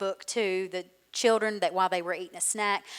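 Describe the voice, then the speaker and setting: A woman talks in a Southern US accent with monotone, flat intonation. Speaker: school literacy coordinator. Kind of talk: conference presentation.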